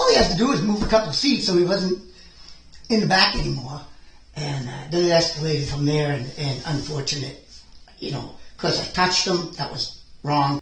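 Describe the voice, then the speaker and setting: Noticeable background noise sits behind a man speaking at a moderate pace. His pitch varies in an ordinary way. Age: 60s. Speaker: school bus driver. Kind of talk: police interview. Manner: halting.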